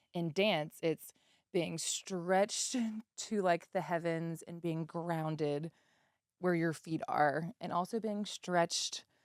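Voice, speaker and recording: In an American accent, a woman with an unremarkable speaking voice talks at a fairly slow pace with fairly low pitch and fairly even intonation, the sound dry and close with no echo. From Charlotte, North Carolina. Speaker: real estate broker and content creator. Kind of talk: casual interview chat.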